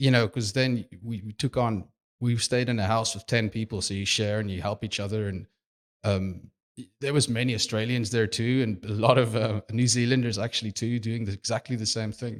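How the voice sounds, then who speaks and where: A South African accent at a fairly quick pace, with fairly even intonation and a dry, close sound with no echo on a very clean recording with a silent background. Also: man, medium pitch for a man. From South Africa, Cape Town. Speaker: video production manager. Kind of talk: podcast interview. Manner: halting.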